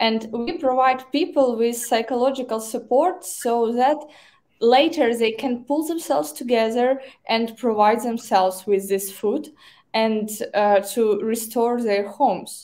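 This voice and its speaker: This woman has a fairly high pitch and a dark, mellow tone, with ordinary pitch variation. She speaks at a fairly slow pace in a Ukrainian accent. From Ukraine. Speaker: nonprofit director of operations. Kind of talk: livestream interview. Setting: video call. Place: office.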